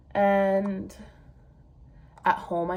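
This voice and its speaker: Audible room echo fills the space. The voice carries an American accent. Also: woman. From Vermont, US. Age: 20s. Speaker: booktuber. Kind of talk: casual chat.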